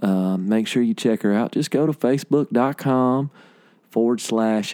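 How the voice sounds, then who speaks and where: The voice has a dark, mellow tone, ordinary pitch variation, and a Southern US accent. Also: man. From Alabama. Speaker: podcast host and musician. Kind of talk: casual interview chat.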